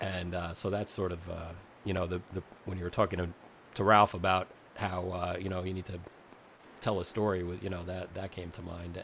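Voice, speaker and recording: A man's very deep, low voice with a New York accent, at a fairly quick pace. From Staten Island, New York. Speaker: podcast host. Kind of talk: interview.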